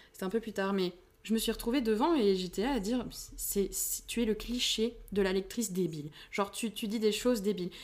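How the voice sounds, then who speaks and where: A woman talks at a fairly quick pace with a fairly high pitch and ordinary pitch variation. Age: young. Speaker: aspiring fantasy author and shopkeeper. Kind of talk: casual chat. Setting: face-to-face recording in same room.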